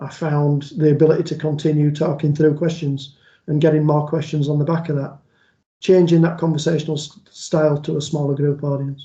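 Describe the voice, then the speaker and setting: With a Yorkshire accent, a man speaks at a fairly quick pace in a fairly high pitch. His dark, mellow voice is somewhat breathy, and his intonation is monotone and flat. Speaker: police liaison officer and trainer. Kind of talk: online training presentation. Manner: conversational.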